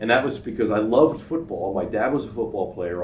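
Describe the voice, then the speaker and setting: A man with a somewhat breathy voice talks at a fairly quick pace, with medium pitch and ordinary pitch variation. Audible room echo surrounds him. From Pennsylvania, Philadelphia suburbs. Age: 70s. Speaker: retired businessman, father of the host. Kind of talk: casual interview chat.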